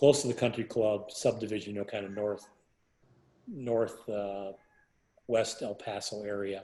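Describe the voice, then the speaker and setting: A man's dark, mellow, fairly low voice with monotone, flat intonation, at a moderate pace with long, frequent pauses. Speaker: architect. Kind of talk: interview answer. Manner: soft-spoken.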